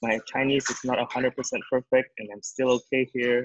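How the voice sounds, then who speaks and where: A man with an Indonesian accent at a moderate pace, in a dry sound without echo. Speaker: startup founder. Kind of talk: webinar talk. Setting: video call. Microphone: video call.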